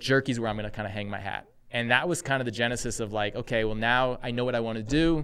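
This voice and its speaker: At a very fast pace, a man talks in a medium pitch with ordinary variation. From Texas. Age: 40s. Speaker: army veteran and snack company CEO. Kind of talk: interview conversation.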